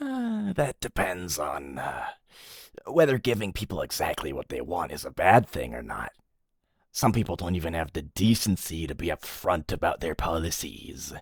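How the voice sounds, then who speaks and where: Using a put-on character voice, a man speaks at a moderate pace with a very deep, low pitch, the sound dry and close with no echo. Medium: audio drama. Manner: hesitant, filler-heavy.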